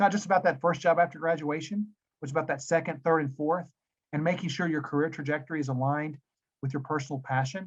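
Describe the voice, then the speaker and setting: Speaking at a very fast pace, a man with a Tennessee accent talks in a fairly high pitch with fairly even intonation. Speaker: business school dean. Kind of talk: webinar presentation. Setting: video webinar.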